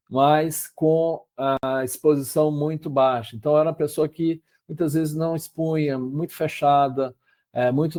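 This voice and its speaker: Fairly high-pitched for a man, his voice has a dark, mellow tone and a monotone, flat intonation at a fairly slow pace. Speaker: psychologist and company CEO presenting a case. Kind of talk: webinar presentation. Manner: hesitant fillers.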